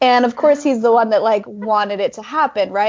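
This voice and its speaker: With a Utah accent, a woman talks at a fairly quick pace in a high voice. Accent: Utah American English. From northern Utah. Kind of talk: casual interview chat.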